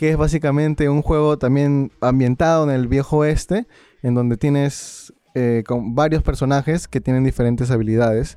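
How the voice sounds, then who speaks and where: At a moderate pace, a man speaks with a fairly high pitch, a dark, mellow tone, very even loudness and fairly even intonation. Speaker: video game podcast co-host. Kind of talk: casual chat.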